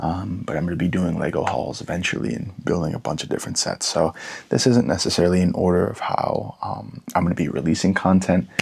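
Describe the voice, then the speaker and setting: A soft-spoken man talks at a fairly quick pace. His pitch is very deep and low. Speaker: LEGO ASMR creator. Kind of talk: ASMR product talk.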